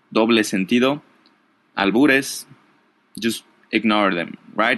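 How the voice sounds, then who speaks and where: A man with a non-native accent and a bright, sharp tone, talking at a fairly slow pace against a quiet background. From Mexico. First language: Spanish. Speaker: podcast host, Spanish teacher. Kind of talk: casual podcast monologue. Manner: halting, many fillers.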